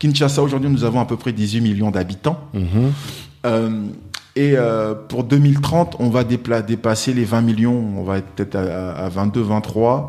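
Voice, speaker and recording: A man speaks fairly slowly while noticeable noise sits in the background. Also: medium pitch for a man, ordinary pitch variation. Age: 40s. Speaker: wealth management advisor. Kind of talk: interview.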